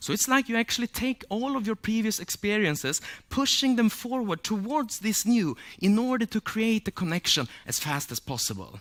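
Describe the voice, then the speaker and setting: Speaking with a Swedish accent, a man uses a high pitch and lively intonation in a very clean recording with a silent background. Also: moderate pace, dry, close sound with no echo. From Sweden. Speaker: memory champion and speaker. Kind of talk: public talk.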